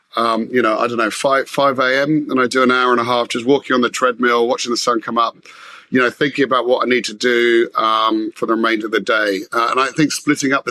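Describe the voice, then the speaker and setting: A man with a London accent talks at a fairly quick pace, his pitch medium. His tone is bright and sharp, his intonation monotone and flat. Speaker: business executive. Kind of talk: interview conversation. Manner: halting, many fillers.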